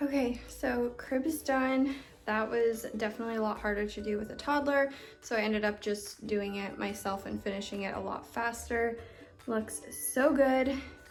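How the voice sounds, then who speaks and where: Amid audible room echo, a woman with a fairly high pitch speaks at a moderate pace with fairly even intonation. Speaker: lifestyle vlogger, expectant mom. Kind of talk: casual vlog narration. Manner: whispering.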